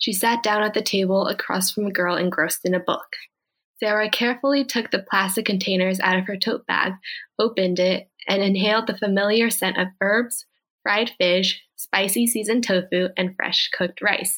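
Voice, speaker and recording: This woman has an American accent and a medium pitch, talking at a moderate pace. Her intonation is fairly even and her loudness very even. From Northern California (Bay Area). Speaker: college student and writer. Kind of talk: reading aloud.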